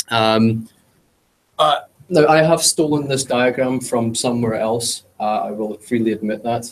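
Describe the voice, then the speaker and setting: Speaking at a fairly slow pace, a man with a British accent keeps a medium pitch and fairly even intonation. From UK. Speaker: cloud consultant / meetup speaker. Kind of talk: technical presentation. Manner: hesitant, many filler words.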